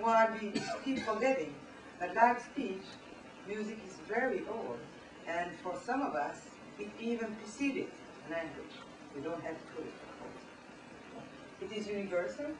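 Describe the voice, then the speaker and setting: A woman with a fairly high pitch speaks at a moderate pace with lively intonation, big swings in loudness and long, frequent pauses, over noticeable background noise and audible room echo. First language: French. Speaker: professor. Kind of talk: lecture. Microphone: poor camera recording.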